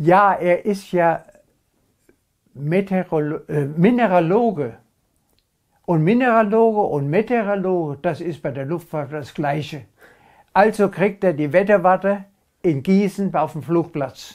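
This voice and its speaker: In a quiet setting, a man with a high voice speaks at a fairly slow pace with ordinary pitch variation and long, frequent pauses. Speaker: contemporary witness. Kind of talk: interview answer. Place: home room.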